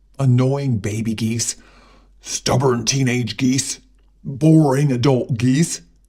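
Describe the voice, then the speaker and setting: A woman puts on a character voice pitched very deep and low. She speaks at a fairly slow pace. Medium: read story. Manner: stern, grumpy.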